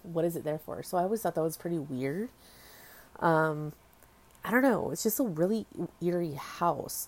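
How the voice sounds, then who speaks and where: With a Californian accent, a woman speaks in lively intonation broken by long, frequent pauses. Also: fairly low pitch for a woman, moderate pace. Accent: Californian American. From US West Coast, Orange County, California. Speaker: podcast host. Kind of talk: casual solo podcast monologue. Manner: casual, filler-heavy with ums and likes.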